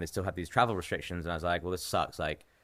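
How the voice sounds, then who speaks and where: A very fast talker delivers the words with an English accent. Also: man, very clean recording, silent background. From England. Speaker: professional trader and artist. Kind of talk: casual podcast interview.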